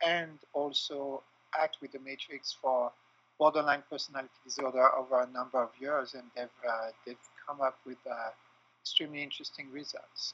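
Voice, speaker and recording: A man speaks at a moderate pace with a French accent. His fairly high pitch stays monotone and flat. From France. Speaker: clinical psychologist and trainer. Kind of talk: interview. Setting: remote call.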